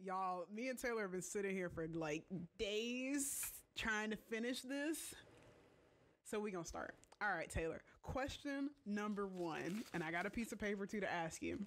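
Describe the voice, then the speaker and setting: Speaking in an ordinary speaking voice, a woman keeps her loudness very even at a moderate pace, her medium pitch moving with lively intonation. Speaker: video creator.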